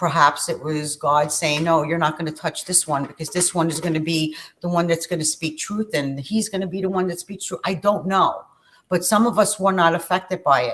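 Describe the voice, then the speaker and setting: Here a woman talks with a New York accent at a fairly low pitch. Her intonation is fairly even and her pace moderate. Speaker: spiritual channel host. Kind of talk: casual chat.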